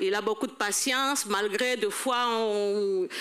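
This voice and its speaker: A woman's fairly high voice with ordinary pitch variation, amid noticeable background noise. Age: old. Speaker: church elder at a seniors' banquet. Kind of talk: testimony. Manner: halting.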